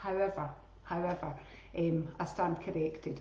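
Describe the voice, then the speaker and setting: There is noticeable background noise and audible room echo as a woman with a Scottish accent speaks at a moderate pace and fairly low pitch. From Scotland. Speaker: teacher and wellbeing coach. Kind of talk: casual talk on live stream. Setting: Facebook live stream. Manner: chatty, informal.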